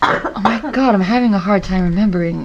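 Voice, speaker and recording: A woman speaks with a non-native accent. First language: not English. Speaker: podcast host. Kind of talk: casual podcast chat. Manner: halting, many fillers.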